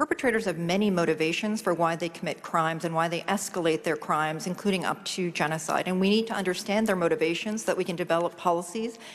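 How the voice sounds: A woman talks at a fairly quick pace with a fairly low pitch and fairly even intonation.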